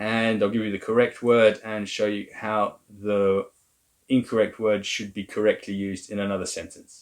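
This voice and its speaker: A man with an English accent speaks at a moderate pace in a fairly low, monotone, flat voice. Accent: English accent when speaking French. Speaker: language teacher. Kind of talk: tutorial.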